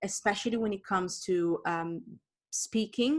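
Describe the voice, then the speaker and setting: In a very clean recording with a silent background, a woman with an Italian accent speaks at a medium pitch with ordinary pitch variation. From Italy. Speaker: author and entrepreneur. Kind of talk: interview. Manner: fast.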